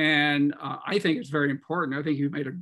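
The background is quiet as a man speaks at a moderate pace. His fairly high voice has a bright, sharp tone. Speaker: test company employee, attendee; webinar host or discussant. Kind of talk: casual chat. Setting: video call. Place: home room. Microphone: video call.

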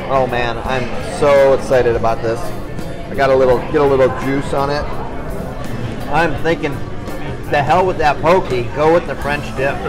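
A man speaks at a moderate pace with fairly even intonation and long, frequent pauses. Music plays clearly in the background. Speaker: real estate agent host. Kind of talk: casual vlog chat. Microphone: phone near.

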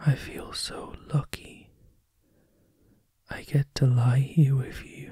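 A man whispers at a very slow pace, leaving long, frequent pauses. His loudness swings widely. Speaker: ASMR roleplay performer. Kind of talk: ASMR comfort roleplay. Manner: soft-spoken, tender.

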